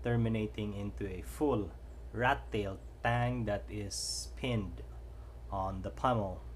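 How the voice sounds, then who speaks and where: In a Filipino accent, a man speaks at a very slow pace, with audible room echo around him. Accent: Filipino accent, noticeable. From Philippines. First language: Cebuano (Bisaya). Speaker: knife reviewer YouTuber. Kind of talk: product review. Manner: slow, deliberate; hesitant with fillers.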